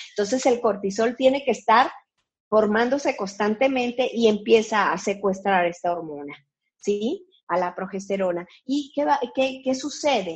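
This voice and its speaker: A somewhat breathy woman with a fairly high pitch at a fairly slow pace. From Colombia. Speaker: physician. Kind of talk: interview. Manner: halting, with many fillers.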